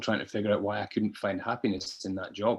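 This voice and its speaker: A man with a Scottish accent at a very fast pace, quiet background. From Scotland, Dundee. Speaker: podcast guest. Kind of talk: interview, personal story. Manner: hesitant, many fillers.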